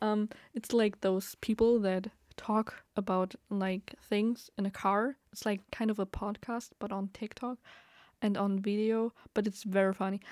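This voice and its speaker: Monotone, flat delivery from a woman at a medium pitch and fairly slow pace, in a very clean recording with a silent background and a dry, close sound with no echo. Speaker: podcaster. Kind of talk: casual solo rambling. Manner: rambling, filler-heavy, laughs often.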